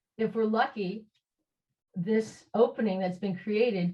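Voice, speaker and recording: Somewhat breathy, a woman with an American accent speaks at medium pitch and a moderate pace, with ordinary pitch variation. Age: 60s. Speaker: socialist activist, discussion presenter. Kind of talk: online group discussion. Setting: video call. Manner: halting, many fillers and restarts.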